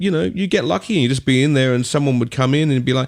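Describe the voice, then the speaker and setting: A man with an Australian accent. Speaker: DJ and music producer. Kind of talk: podcast interview. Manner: casual.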